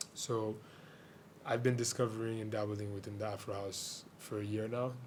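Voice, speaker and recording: In a room with audible echo, a man speaks at a fairly low pitch in a monotone, flat intonation. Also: moderate pace. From Haiti (Port-au-Prince). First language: Haitian Creole. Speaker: DJ and music producer. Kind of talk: radio interview. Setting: radio studio.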